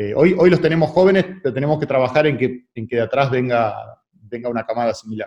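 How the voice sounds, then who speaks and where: This man speaks at a very fast pace. His medium pitch shows ordinary pitch variation. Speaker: sports federation president. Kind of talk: radio interview. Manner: halting, many repetitions.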